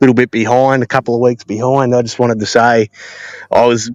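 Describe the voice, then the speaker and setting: At a fairly quick pace, a man with an Australian accent speaks in a flat monotone at a medium pitch, the sound dry and close with no echo. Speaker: listener sending a voice message. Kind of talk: casual voice message. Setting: outdoors. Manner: fast.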